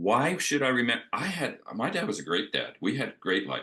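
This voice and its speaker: At a moderate pace, a man talks with vocal fry, a medium pitch and a bright, sharp tone. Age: 70s. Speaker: panel guest on wellness discussion. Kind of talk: casual chat.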